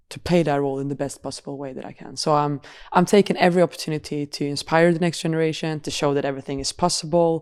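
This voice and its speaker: A woman with a Swedish accent speaks at a very fast pace in a very deep, low voice with fairly even intonation, recorded very cleanly against a silent background. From Sweden. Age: 20s. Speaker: professional football goalkeeper. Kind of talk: podcast interview. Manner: halting, repeats words.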